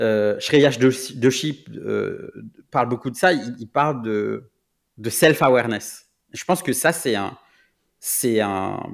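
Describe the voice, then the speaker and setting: A man with a medium pitch and vocal fry speaks at a very slow pace, using ordinary pitch variation, big swings in loudness and long, frequent pauses, in a very clean recording with a silent background. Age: 30s. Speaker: product manager. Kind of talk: interview. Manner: halting.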